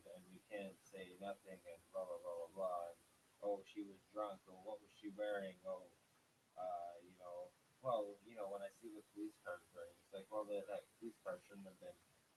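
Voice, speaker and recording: A man's monotone, flat intonation with big swings in loudness. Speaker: anarchist activist. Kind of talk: angry rant to camera. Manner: angry, profane.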